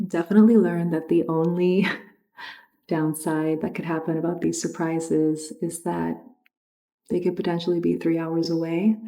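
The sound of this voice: A woman speaks with a fairly low pitch, a dark, mellow tone and vocal fry. Her pitch moves little, and room echo is audible. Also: moderate pace.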